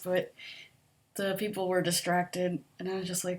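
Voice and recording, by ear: Soft-spoken and fairly low-pitched, a woman talks in a monotone, flat intonation with a slightly mellow tone. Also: moderate pace.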